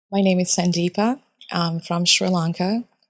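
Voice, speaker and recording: A woman with a Japanese accent speaks at a fairly low pitch with fairly even intonation. The sound is dry and close, with no echo. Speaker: chemical engineer. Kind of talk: casual chat.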